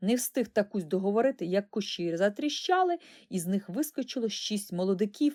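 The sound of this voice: Intonation rises and falls in a lively way. The reading voice itself is unforced.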